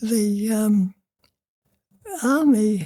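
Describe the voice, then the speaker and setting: A woman's somewhat breathy voice with a dark, mellow tone. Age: 80s+. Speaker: retired nurse. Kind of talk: interview answer.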